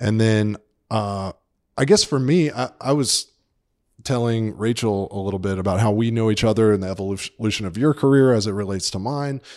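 A man with an American accent talks at a fairly quick pace in a normal speaking voice. His pitch varies in an ordinary way, and the recording is very clean with a silent background. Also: fairly low pitch for a man. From Atlanta, Georgia, US South. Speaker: magazine editor. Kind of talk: casual interview.

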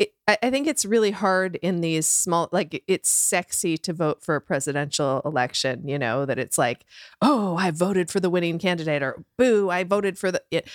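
In a normal speaking voice with a fairly low pitch, a woman talks at a moderate pace with hardly any pauses and lively intonation, recorded dry and close with no echo on a very clean recording with a silent background. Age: 50s. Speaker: friend of the host living with a heart condition. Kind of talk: casual chat.

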